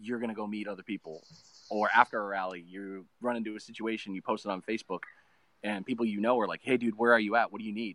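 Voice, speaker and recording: Speaking at a very fast pace, a man with a fairly low pitch and a bright, sharp tone holds a monotone, flat intonation in a dry, close sound with no echo. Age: 30s. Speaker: full-time RV traveler, Marine veteran. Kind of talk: interview.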